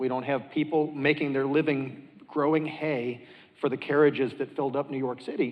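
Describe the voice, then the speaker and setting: A man talks at a fairly quick pace in an unremarkable speaking voice. His pitch is fairly high. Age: 50s. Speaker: physician. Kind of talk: panel discussion.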